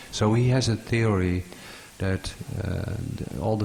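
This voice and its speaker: The speaker has a non-native accent and talks at a very slow pace with fairly even intonation. Noticeable background noise is present. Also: man. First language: not English. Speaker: audience member asking a question. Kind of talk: conference Q&A. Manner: halting.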